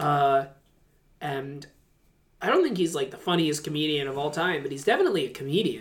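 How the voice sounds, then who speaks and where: The speaker goes at a fairly quick pace but breaks often with long pauses. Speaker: co-host. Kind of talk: casual chat.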